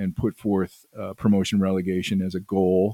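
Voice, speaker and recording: Someone speaks with an American accent. The sound is dry and close with no echo. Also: man. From US Midwest, northern Illinois (Chicago suburbs). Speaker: soccer advocate and historian. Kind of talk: interview.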